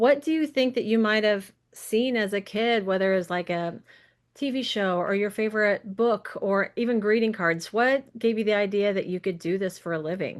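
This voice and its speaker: A woman with an American accent uses a normal speaking voice, medium pitch and ordinary pitch variation at a moderate pace over a quiet background. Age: 40s. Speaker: podcast host. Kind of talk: interview.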